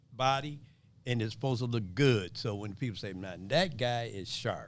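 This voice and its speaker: A man at medium pitch and a moderate pace, with ordinary pitch variation and audible room echo. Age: 60s. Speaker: clothing store owner. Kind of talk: casual interview. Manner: animated.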